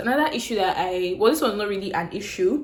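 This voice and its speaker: A woman in a Nigerian accent at a medium pitch and fairly quick pace, over noticeable background noise. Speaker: YouTuber. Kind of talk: casual storytelling vlog. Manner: clear; animated.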